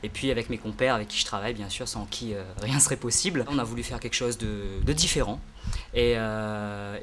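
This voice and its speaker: A man talks at a fairly quick pace with ordinary pitch variation. His pitch is medium. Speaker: singer and English teacher. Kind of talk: interview. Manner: hesitant, many fillers.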